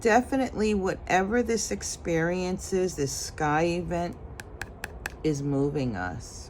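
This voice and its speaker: A woman speaks at a fairly low pitch and a fairly slow pace, with very wide pitch swings. Audible room echo surrounds her voice. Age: 60s. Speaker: intuitive tarot card reader. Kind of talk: tarot reading monologue. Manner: casual, with frequent fillers.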